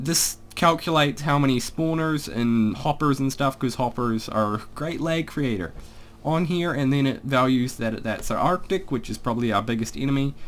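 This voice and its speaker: A man talks with a New Zealand accent. His pitch is medium and his pace moderate. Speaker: gaming YouTuber. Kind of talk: casual gameplay commentary. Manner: casual, rambling with fillers.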